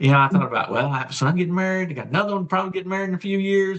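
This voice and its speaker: This is a man's voice. It sounds somewhat breathy. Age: 60s. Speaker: guest sharing health story. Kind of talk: testimony. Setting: live online show.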